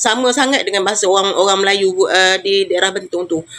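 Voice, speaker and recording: In a Riau accent, a woman talks very fast with lively intonation. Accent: Riau Malay, close to Malaysian Malay. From Riau Islands, Indonesia (Riau Malay). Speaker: Indonesian migrant worker sharing experience. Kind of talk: personal testimony. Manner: halting, many fillers.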